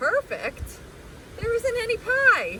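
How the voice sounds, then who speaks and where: An extremely high, squeaky put-on character voice comes through with clear background noise. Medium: read story. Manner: dry, deadpan.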